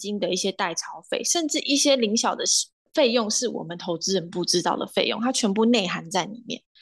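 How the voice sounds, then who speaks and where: Very wide pitch swings over a quiet background. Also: woman. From Taiwan, Kaohsiung. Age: 20s. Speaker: finance graduate. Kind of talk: interview.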